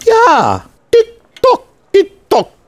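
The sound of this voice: The man puts on a character voice in a German accent, pitched extremely high. It crawls at a very slow pace with very wide pitch swings.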